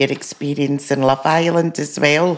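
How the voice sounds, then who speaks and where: In a Scottish accent, a woman speaks with fairly even intonation at a very deep, low pitch. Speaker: podcast co-host, mother. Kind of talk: casual chat. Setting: video call.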